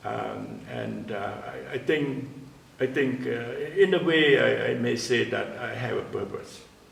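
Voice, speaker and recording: With big swings in loudness, a man speaks at a fairly slow pace over noticeable background noise and audible room echo. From Cambodia. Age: 80s+. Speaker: composer. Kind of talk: interview. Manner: halting, many fillers and repetitions.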